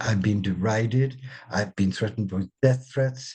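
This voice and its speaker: A man speaks with a dark, mellow tone. There is some breathiness in his voice. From India and England. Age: 70s. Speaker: spiritual author. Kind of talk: interview. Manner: animated.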